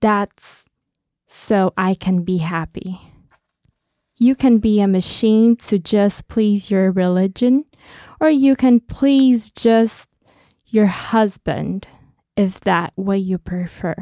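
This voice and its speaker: A woman with a Brazilian accent speaks very slowly with long, frequent pauses in a dark, mellow tone, the sound dry and close with no echo. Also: medium pitch for a woman, ordinary pitch variation. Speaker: poet and poetry student. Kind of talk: casual chat with poetry reading aloud. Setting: studio. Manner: laughs often.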